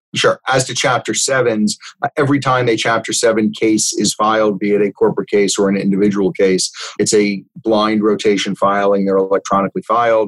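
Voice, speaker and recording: An ordinary speaking voice from a man, fairly low in pitch, with fairly even intonation, a fairly quick pace and a dry, close sound with no echo. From South Florida, North Miami. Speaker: bankruptcy trustee and lawyer. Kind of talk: interview.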